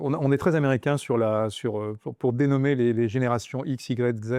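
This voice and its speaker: This man's voice has a dark, mellow tone and fairly even intonation. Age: 60s. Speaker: business transfer consultant. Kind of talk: interview. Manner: halting, many fillers and repetitions.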